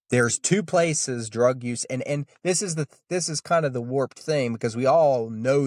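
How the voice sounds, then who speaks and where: The recording is very clean, with a silent background and a dry, close sound with no echo. A man is speaking. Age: 20s. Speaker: oil well worker. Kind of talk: interview testimony.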